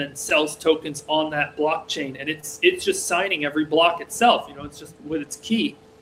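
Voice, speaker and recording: Noticeable background noise sits behind a man with an American accent. He speaks at a moderate pace in a fairly high pitch with ordinary pitch variation. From rural Massachusetts, US. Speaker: programmer. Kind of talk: casual interview conversation. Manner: hesitant, many fillers.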